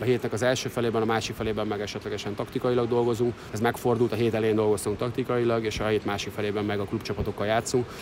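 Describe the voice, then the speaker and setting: Over noticeable background noise, a man rattles off words at a very fast pace in a flat monotone, medium in pitch, with hardly any pauses. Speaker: water polo national team coach. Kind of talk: interview. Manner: halting.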